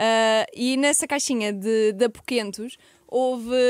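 A woman speaks at a very slow pace with ordinary pitch variation, in a dry sound with no echo against a quiet background. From Portugal. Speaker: podcast host. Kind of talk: casual chat. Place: studio. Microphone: studio mic.

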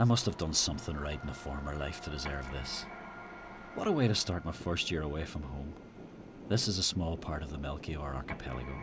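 A man with an Irish accent and a very deep, low pitch, talking at a fairly quick pace over music in the background. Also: ordinary pitch variation. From Ireland. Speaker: travel storyteller. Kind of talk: travel documentary voice-over narration. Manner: reflective.

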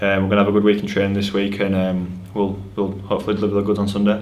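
Fairly low in pitch, a man races along at a very fast pace in a monotone, flat intonation. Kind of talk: interview answer. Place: hall.

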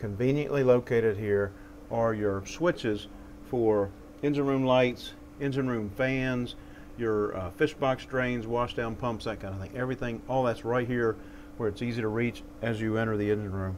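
A man's voice at a moderate pace with fairly even intonation, over light background noise. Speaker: yacht salesman. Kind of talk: product walkthrough tour. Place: boat. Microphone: lapel.

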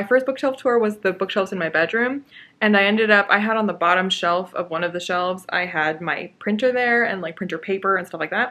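A woman's voice is heard. Her pace is fairly quick. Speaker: book channel host. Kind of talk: casual vlog chat. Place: home room. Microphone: phone near.

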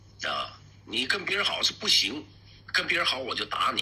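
A man talks fairly slowly, and noticeable background noise can be heard. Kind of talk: street interview talk.

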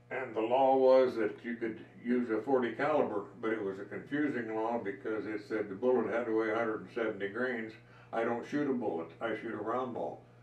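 This man talks at a moderate pace with an American accent and fairly even intonation. Audible room echo surrounds the voice. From Colorado. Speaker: wood carver and gunsmith. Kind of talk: casual chat. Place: workshop. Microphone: camera far.

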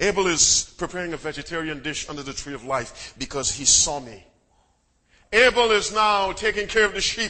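Here a man talks with a high pitch and lively intonation. His pace is moderate. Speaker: Adventist preacher. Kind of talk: sermon with call-and-response to the congregation. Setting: church before a live congregation. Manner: commanding, drills the crowd for repeated amens; wry, teasing humor with punchy short sentences.

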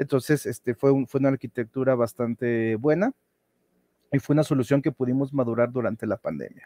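Fairly quick and dark, mellow in tone, a man's voice keeps a fairly even intonation in a dry sound with no echo. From Mexico. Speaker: data and business intelligence lead at a health organization. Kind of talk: conference talk. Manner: halting, with frequent fillers and repetitions. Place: home room.

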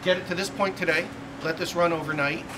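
A man with a high pitch speaks at a moderate pace against noticeable background noise. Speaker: quality manager tour guide. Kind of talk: factory tour explanation. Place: factory. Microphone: camera far.

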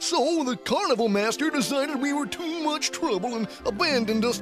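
A cartoonish character voice, high in pitch, runs at a fairly quick pace over clear music in the background. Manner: jolly, pleading.

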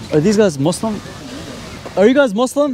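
Light background noise sits under a man speaking at a moderate pace with a dry sound and no echo. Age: 30s. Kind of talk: street debate. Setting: outdoors in public with a group. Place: street. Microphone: handheld.

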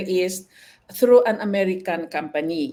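The speaker here is a woman. The recording is very clean, with a silent background. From Philippines, Ilocos Norte. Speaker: nurse. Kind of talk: interview, life story.

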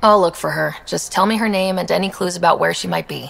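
A put-on character voice comes at a fast pace with vocal fry. The tone is fairly bright. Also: woman, fairly low pitch for a woman, ordinary pitch variation.

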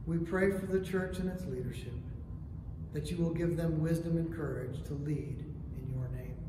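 Over noticeable background noise and audible room echo, a man talks at a moderate pace in a high pitch with fairly even intonation. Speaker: prayer leader. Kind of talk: morning prayer service, liturgical reading. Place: church. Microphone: camera far.

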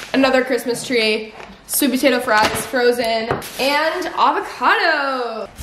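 A woman's high voice with an American accent and ordinary pitch variation, light background noise and audible room echo. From North Texas. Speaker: lifestyle vlogger. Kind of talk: casual vlog talk to camera. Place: home room. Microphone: camera far.

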